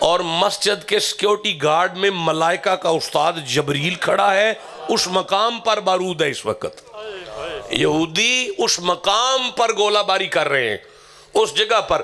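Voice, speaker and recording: A man speaks in a raised, projected voice with a passionate tone and lively intonation. Noticeable background noise sits behind him. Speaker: Islamic preacher. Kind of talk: emotional religious sermon delivered to a live audience. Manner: passionate, emphatic, addressing the crowd directly.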